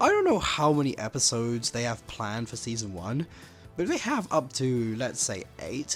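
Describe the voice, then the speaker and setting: Over music in the background, a man speaks at a medium pitch and moderate pace with lively intonation. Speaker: animation commentary youtuber. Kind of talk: casual commentary to camera.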